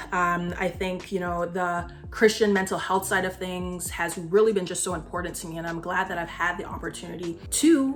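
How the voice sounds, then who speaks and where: Music plays in the background as a woman speaks in an upbeat tone. Her pitch is medium, with ordinary variation, at a moderate pace. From Barbados. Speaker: psychiatry resident. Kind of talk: casual talk to camera.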